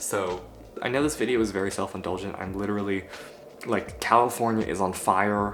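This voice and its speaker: Fairly low male voice with fairly even intonation and a fairly quick pace, plus audible room echo and music in the background. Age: 18. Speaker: vlogger. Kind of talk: casual vlog monologue.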